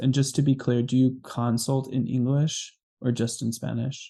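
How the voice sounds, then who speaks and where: This man's tone is dark and mellow, at medium pitch. His intonation stays monotone and flat. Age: 30s. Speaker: podcast host. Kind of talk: casual interview chat.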